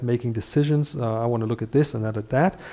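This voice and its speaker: The tone is dark and mellow, with fairly even intonation. The pace is fairly quick. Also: man. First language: Dutch. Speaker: functional neurology teacher. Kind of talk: live lecture. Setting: livestream. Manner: halting, many fillers.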